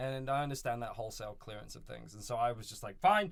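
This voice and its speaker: A man with a London accent at a medium pitch, very fast pace, and lively intonation. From England, London. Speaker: film crew worker. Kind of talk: casual chat. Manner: animated.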